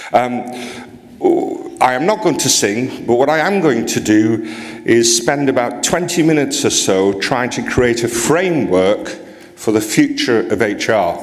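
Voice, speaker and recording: A medium-pitched man with a Geordie accent, lively intonation and a fairly slow pace, amid noticeable background noise and audible room echo. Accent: Geordie, northeast English. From northeast England, near Newcastle. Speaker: HR association president, conference speaker. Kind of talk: conference keynote. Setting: stage with audience. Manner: speeds up when excited.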